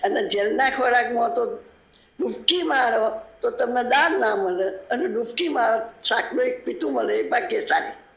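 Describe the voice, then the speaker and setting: A high-pitched woman's voice with very wide pitch swings, plus noticeable background noise and audible room echo. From Gujarat, Kalol. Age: 80s+. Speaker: independence-era activist, interviewee. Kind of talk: radio interview, oral history.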